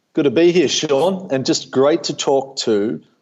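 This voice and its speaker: A man's fairly high voice in an Australian accent, at a moderate pace with very wide pitch swings. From Australia, Melbourne. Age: 30s. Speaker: company founder. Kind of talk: podcast interview. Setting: video call.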